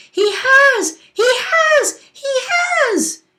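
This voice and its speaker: This is a put-on character voice, squeaky and extremely high in pitch. It is shouting. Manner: frantic, panicked blurting.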